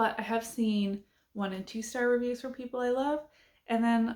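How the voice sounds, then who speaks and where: A woman with an unremarkable speaking voice talks at a moderate pace with fairly even intonation. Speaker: booktuber. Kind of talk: casual chat.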